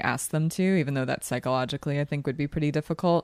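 A woman speaks with a slight Philadelphia accent. Her pitch is very deep and low. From Philadelphia, US. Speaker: podcast host. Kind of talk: casual chat, movie discussion. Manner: chatty, laughs often.

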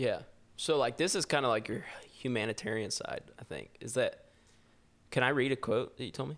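A voice with vocal fry moves at a fairly quick pace, with ordinary pitch variation and long, frequent pauses. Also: man, medium pitch for a man. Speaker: podcast host. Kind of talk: casual chat. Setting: video call.

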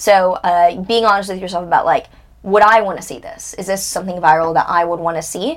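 A woman's ordinary speaking voice at medium pitch, fairly even in intonation, at a fairly quick pace. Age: 20s. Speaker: financial astrologer and TikTok creator. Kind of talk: casual interview chat.

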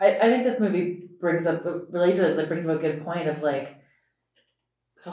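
This woman has a plain, everyday voice, fairly low in pitch, and talks at a moderate pace. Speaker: law student.

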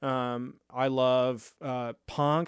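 A man speaks in a Midwestern American accent at a medium pitch with fairly even intonation. The recording is very clean, with a silent background. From Lincoln, Nebraska. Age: 30s. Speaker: music producer. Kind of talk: casual chat. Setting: home studio.

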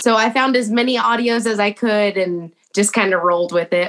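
In an American accent, a woman speaks at a moderate pace and medium pitch, with an ordinary speaking voice and ordinary pitch variation. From Texas. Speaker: TikTok creator. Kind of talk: casual chat.

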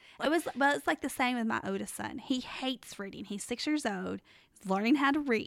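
With lively intonation and some vocal fry, a woman talks at a fairly high pitch. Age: 30s. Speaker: podcast co-host. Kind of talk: casual Bible study chat.

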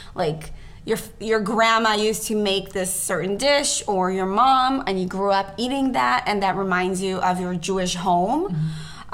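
A woman's medium-pitched voice at a moderate pace, with noticeable background noise. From Israel. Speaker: pastry chef, co-host. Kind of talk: casual chat.

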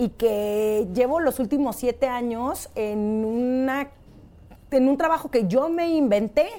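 This woman speaks in a Mexican accent. Her pitch is high. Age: 30s. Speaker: podcast host. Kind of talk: casual chat.

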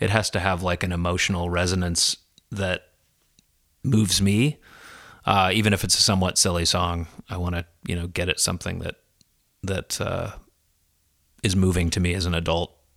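Long, frequent pauses break up fairly even intonation in a Midwestern American accent, recorded very cleanly with a silent background. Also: man, very deep, low pitch for a man, moderate pace. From US Midwest (Des Moines, Iowa). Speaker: children's musician. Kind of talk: casual chat. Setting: his living room, recorded on location.

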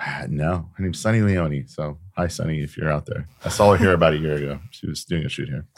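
A man's very deep, low voice in an American accent, very fast with hardly any pauses and ordinary pitch variation. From California, Sacramento. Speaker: photographer. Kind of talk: casual chat. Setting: home recording studio.

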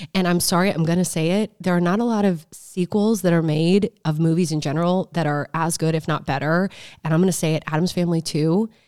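A woman with a plain, everyday voice and an American accent talks at a fairly quick pace with hardly any pauses, fairly even intonation and a fairly low pitch, in a very clean recording with a silent background. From Omaha, Nebraska. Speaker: podcast host, real estate agent. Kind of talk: casual chat.

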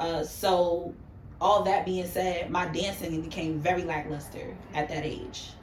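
A woman with an American accent speaks at a fairly slow pace and a fairly low pitch. Her intonation is monotone and flat, and there is noticeable background noise. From New York City. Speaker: makeup artist.

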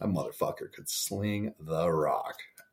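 A man speaks with an American accent. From Montana. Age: 30s. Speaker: podcast host, former football player and coach. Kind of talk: casual monologue, personal story.

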